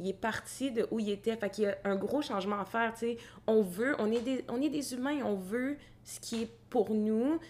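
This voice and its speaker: With a normal speaking voice, a woman talks at a moderate pace and a fairly high pitch, with ordinary pitch variation. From Quebec, Gatineau. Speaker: graduate student in organizational development. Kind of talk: casual chat.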